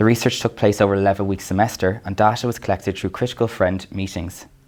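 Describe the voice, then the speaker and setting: A man's fairly low voice with an Irish accent and fairly even intonation. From Ireland. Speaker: academic lecturer. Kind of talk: lecture.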